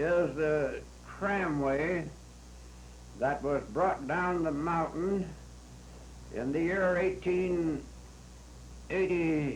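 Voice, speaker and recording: A man with an American accent, fairly high pitch and fairly even intonation, at a very slow pace with long, frequent pauses. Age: 80s+. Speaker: former county supervisor. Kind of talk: oral history interview. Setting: old audio tape. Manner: hesitant, slow.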